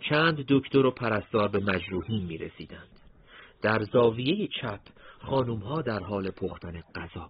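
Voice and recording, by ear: The reading aloud is done in a natural voice, and the intonation is lively.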